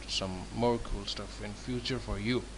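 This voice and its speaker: A man with a non-native accent delivers his words at a fairly slow pace. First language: not English. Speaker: template designer. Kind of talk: tutorial. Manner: halting.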